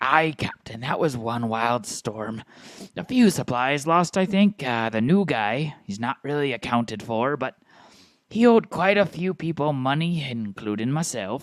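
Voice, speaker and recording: The recording is very clean, with a silent background. A man uses a put-on character voice at medium pitch and a moderate pace. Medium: actual play. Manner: eager, scheming.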